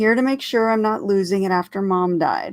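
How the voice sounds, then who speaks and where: Heard on a very clean recording with a silent background, a woman performs a put-on character voice. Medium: read story. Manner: sharp, sarcastic.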